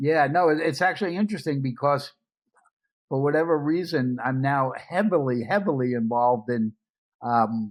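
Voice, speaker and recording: Here a man speaks with a New York accent at a fairly high pitch. The pace is moderate. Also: ordinary pitch variation. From US Northeast, Brooklyn, New York. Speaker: media entrepreneur. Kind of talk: interview conversation.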